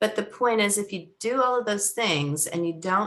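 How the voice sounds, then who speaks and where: A woman with an American accent and a plain, everyday voice, at a moderate pace with ordinary pitch variation. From US West Coast, San Francisco Bay Area. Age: 60s. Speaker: company founder. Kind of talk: interview.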